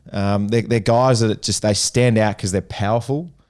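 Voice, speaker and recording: Heard in a very clean recording with a silent background, a man with an Australian accent speaks in a dark, mellow tone at a fairly low pitch with fairly even intonation. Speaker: podcast co-host, former footballer. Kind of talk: casual chat. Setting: live event venue.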